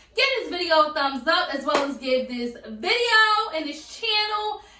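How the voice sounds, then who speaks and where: A woman speaks in a raised, projected voice at a high pitch, taking a fairly slow pace with lively intonation while room echo is audible. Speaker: YouTuber. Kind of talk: cooking tutorial. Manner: casual, chatty.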